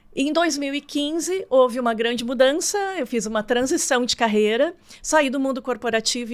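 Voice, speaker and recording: On a very clean recording with a silent background, a woman speaks at a moderate pace with a high pitch and ordinary pitch variation. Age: 60s. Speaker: marketing consultant. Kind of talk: interview.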